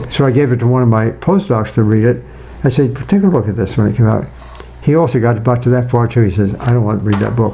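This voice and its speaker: There is noticeable background noise as a man talks at a very fast pace with medium pitch, ordinary pitch variation and very even loudness. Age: 80s+. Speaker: nutrition scientist. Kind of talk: interview. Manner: halting.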